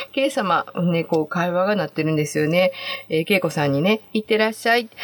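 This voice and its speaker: Over music in the background, a woman talks at a fairly quick pace in a cheerful tone with a Kansai accent. Her pitch variation is ordinary. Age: 60s. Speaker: podcast host. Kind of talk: casual monologue. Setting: home closet. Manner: cheerful, laughing often.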